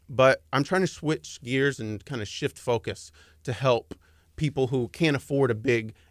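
In a Texan accent, a man speaks at a moderate pace with ordinary pitch variation in a very clean recording with a silent background. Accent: Texan American. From Dallas, Texas. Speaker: advertising consultant. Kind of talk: radio interview. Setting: radio studio.

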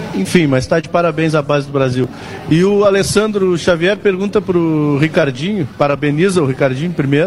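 A man with a fairly high pitch speaks with ordinary pitch variation over noticeable background noise. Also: moderate pace. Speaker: sports radio commentator. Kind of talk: live radio talk show. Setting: live radio broadcast from a bar.

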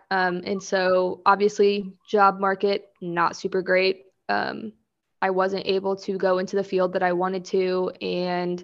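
A woman is speaking. She has an American accent. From Kansas. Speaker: clothing designer and podcaster. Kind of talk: casual chat.

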